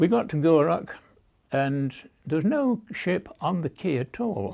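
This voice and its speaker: In a British accent, a man speaks with a fairly high pitch and a dark, mellow tone. His pitch swings very widely. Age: 90s. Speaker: war veteran. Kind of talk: oral history interview. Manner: halting.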